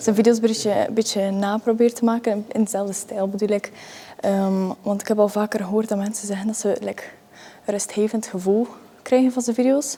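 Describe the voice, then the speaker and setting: In a Flemish accent, a woman talks with a fairly high pitch and a flat, monotone intonation. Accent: Flemish Dutch. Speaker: vlogger. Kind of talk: gym vlog, casual talk to camera. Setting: gym. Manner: breathy, panting between sets.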